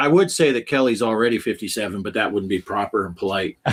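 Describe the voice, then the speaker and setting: In a plain, everyday voice, a man talks at a fairly quick pace with a medium pitch and lively intonation. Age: 50s. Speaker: livestream host reading chat. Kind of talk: casual chat.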